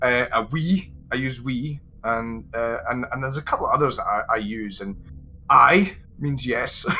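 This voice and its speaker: A man with a slight Scottish accent, music playing in the background. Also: medium pitch for a man, ordinary pitch variation. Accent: mild Scottish. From Scotland. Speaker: English teacher and content creator. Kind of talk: interview chat. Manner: fast by nature.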